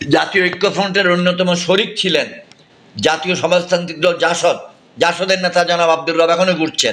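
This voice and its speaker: Light background noise sits behind a man with a high pitch. His intonation is monotone and flat. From Bangladesh. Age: 70s. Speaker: politician and retired army general; politician. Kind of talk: private phone conversation.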